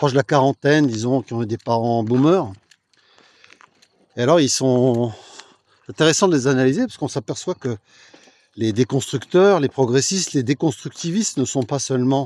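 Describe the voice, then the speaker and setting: At a moderate pace with long, frequent pauses, a man speaks at a medium pitch with ordinary pitch variation in a dry, close sound with no echo. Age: 60s. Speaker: political commentator. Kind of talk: casual vlog monologue. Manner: hesitant, many fillers.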